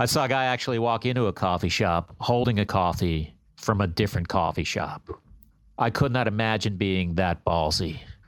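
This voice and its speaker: A man with an ordinary speaking voice, fairly low in pitch, at a moderate pace with ordinary pitch variation and very even loudness, on a very clean recording with a silent background. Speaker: comedian. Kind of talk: stand-up routine.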